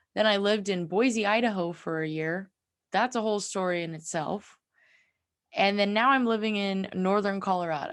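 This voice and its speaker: With an American accent, a woman speaks at medium pitch and a moderate pace, with ordinary pitch variation and an animated tone. The recording is very clean, with a silent background. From California. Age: 20s. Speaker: podcast host. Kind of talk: casual podcast monologue.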